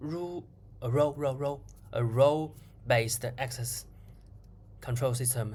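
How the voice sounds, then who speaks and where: At a very slow pace, the speaker talks with a non-native accent. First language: not English. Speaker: programmer vlogger. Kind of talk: screen-recorded coding tutorial. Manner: halting, many repetitions.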